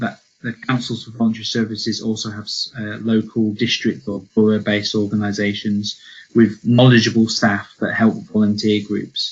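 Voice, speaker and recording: Somewhat breathy, a man speaks in a flat monotone at a fairly low pitch. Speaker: sports funding officer. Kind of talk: webinar presentation. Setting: online webinar. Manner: fast; hesitant with fillers.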